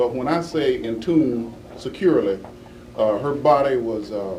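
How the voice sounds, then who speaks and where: Noticeable background noise behind a man speaking at a moderate pace and medium pitch. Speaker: law enforcement official answering reporters at a press conference. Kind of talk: press conference answer. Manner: hesitant, halting with many fillers.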